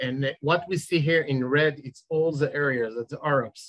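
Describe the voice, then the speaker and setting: A man speaks at a fairly high pitch. His pace is moderate and his intonation fairly even. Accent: Israeli. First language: Hebrew. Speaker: settlement community leader. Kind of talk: panel presentation. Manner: halting.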